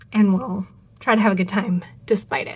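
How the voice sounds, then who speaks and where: A woman speaks with a somewhat breathy voice. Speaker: crafts and fountain pen YouTuber. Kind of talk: casual video chat review. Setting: home studio.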